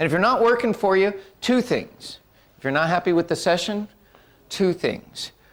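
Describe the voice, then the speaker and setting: With an animated tone and ordinary pitch variation, a man speaks at a fairly quick pace. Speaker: workshop presenter. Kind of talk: workshop presentation. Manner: fast.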